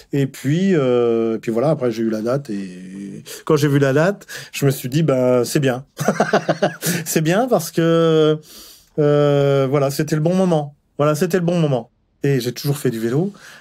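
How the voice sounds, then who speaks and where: Fairly slow male speech in a dark, mellow tone, with ordinary pitch variation and long, frequent pauses. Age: 60s. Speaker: retired cook. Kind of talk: testimony. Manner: halting, many hesitations.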